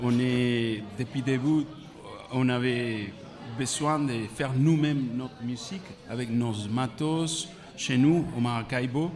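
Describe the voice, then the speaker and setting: A man at a very slow pace with long, frequent pauses, amid audible room echo and noticeable background noise. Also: medium pitch for a man, ordinary pitch variation. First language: Spanish (speaking French). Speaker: musician. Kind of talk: interview. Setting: festival press area, live radio.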